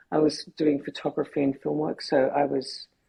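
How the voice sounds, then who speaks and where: Here a woman speaks with an Australian accent. She keeps a moderate pace. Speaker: photographer and filmmaker, cancer survivor. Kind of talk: podcast interview. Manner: halting, many repetitions.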